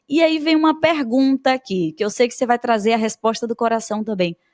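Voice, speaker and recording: A woman speaks in an animated tone with a fairly high pitch and lively intonation. The sound is dry and close with no echo, and the recording is very clean with a silent background. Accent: Bahian. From Bahia, Brazil. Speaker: podcast host and teacher. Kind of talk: podcast interview.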